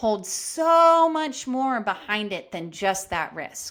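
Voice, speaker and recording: A woman talks loudly at a fairly slow pace, her tone bright, sharp and animated. Her intonation is lively. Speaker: podcast host. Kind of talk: storytelling monologue.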